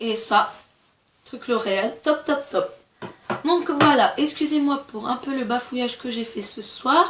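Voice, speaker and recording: A woman speaks at a very slow pace in a high voice, with lively intonation, big swings in loudness, and long, frequent pauses. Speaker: beauty vlogger. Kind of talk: casual product review vlog. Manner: stumbling over words.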